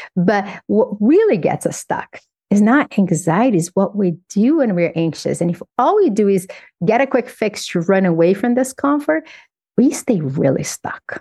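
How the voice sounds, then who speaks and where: A woman with a Portuguese accent has a dark, mellow tone, a somewhat breathy sound and very wide pitch swings. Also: medium pitch for a woman, moderate pace, dry, close sound with no echo. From Brazil. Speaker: psychologist and author. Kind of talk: interview.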